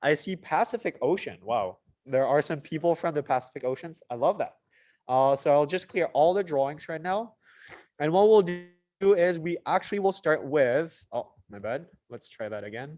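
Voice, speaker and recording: With a French accent, the speaker talks at a moderate pace in an animated tone, with lively intonation and big swings in loudness. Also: man, fairly high pitch for a man. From Mauritius. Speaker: student association officer. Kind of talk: live event hosting on video call.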